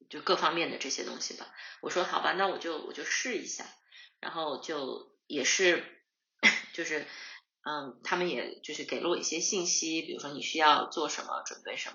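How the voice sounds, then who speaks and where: A woman talks at a moderate pace with big swings in loudness. Audible room echo surrounds her voice. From northeast China, Harbin. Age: 30s. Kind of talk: interview conversation. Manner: halting, many fillers and repetitions.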